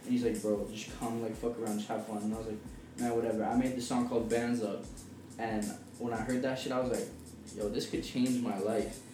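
Against noticeable background noise, a man with a medium pitch talks at a fairly quick pace in a monotone, flat intonation. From British Columbia, Canada. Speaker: young rapper. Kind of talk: casual chat.

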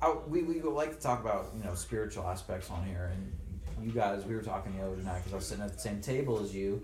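Very fast speech from a man with an American accent, noticeable background noise behind him. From Jacksonville, Florida. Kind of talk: casual chat. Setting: studio.

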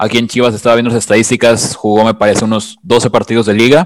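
This man's pitch is medium. He talks at a very fast pace. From Mexico. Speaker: podcast co-host, fan. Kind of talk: casual podcast chat.

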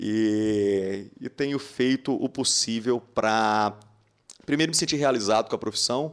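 This man talks at a fairly slow pace with a medium pitch. He has an ordinary speaking voice with ordinary pitch variation. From Minas Gerais, Brazil (Patos de Minas). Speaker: dentist and dental educator. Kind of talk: casual interview.

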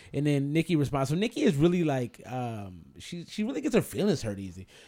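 With a dark, mellow tone and very wide pitch swings, the voice races at a very fast pace on a very clean recording with a silent background. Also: man. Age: 30s. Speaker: podcast host. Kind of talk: casual chat.

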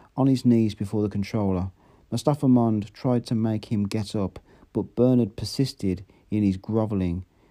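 Simply a plain reading aloud.

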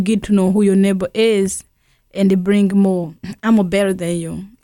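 A woman with a Burundian accent speaks at a medium pitch in a dark, mellow tone. The recording is very clean, with a silent background. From Burundi, grew up in a refugee camp. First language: Kirundi. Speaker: refugee aid worker. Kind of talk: radio interview.

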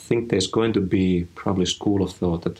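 A man with a Finnish accent, very deep and low in pitch, with fairly even intonation. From rural Finland. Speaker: head of design. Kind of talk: interview.

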